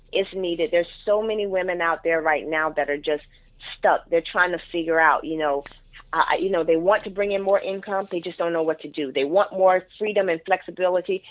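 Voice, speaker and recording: At a fairly quick pace, a woman talks with a fairly low pitch. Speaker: business coach and network marketer. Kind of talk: interview. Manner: passionate, animated.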